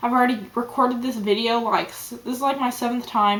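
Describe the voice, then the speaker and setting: Noticeable background noise accompanies a woman speaking at a moderate pace in a high-pitched voice. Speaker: vlogger. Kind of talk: personal video diary. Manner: not lively, concentrating.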